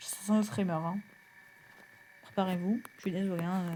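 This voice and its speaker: A soft-spoken woman's dark, mellow, somewhat breathy voice at a fairly quick pace, with fairly even intonation. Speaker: gaming youtuber. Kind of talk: gameplay commentary.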